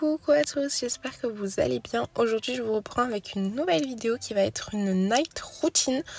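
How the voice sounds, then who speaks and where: A woman's fairly high voice with lively intonation, a moderate pace and hardly any pauses, recorded dry and close with no echo. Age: 20s. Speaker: mom vlogger. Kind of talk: voice-over narration. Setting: in a car. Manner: soft-spoken.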